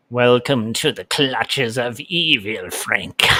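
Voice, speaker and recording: A put-on character voice delivers its lines at a fairly slow pace. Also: man, medium pitch for a man. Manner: sinister, menacing.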